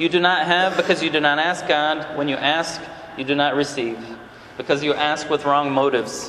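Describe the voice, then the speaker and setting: A man's fairly high voice at a moderate pace with fairly even intonation, amid noticeable background noise and audible room echo. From Brazil. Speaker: conference speaker. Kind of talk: talk to a men's conference session. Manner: halting, many repeated words.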